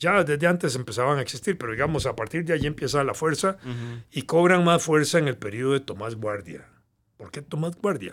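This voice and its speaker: Speaking at a fairly quick pace with a Costa Rican accent, a man with a fairly high pitch makes big swings in loudness in a very clean recording with a silent background. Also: lively intonation. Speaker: historian. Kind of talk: interview, explanatory history talk.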